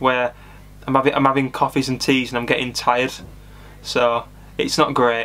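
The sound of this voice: This man talks at a fairly quick pace with a bright, sharp tone, a medium pitch and little movement in his pitch.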